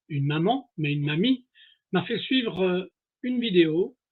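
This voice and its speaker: A moderate pace from a man with a high pitch. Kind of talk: short video introduction.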